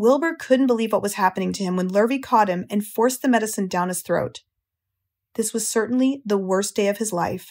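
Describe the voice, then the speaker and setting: An unremarkable speaking voice from a woman with an American accent, fairly high in pitch and fairly quick, in a very clean recording with a silent background. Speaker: audiobook narrator. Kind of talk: children's audiobook reading.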